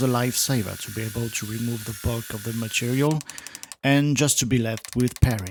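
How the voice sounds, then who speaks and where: A man speaks with a French accent at a medium pitch and fairly even intonation. There is noticeable background noise. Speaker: woodworker. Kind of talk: woodworking build narration.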